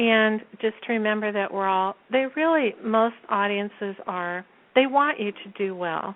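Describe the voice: A soft-spoken woman talks at a fairly slow pace in a medium pitch with ordinary pitch variation.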